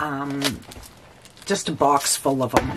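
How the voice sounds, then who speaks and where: Noticeable background noise accompanies a woman who talks very slowly. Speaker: vintage reseller. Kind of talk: casual unboxing talk to camera. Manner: hesitant, stuttering at times.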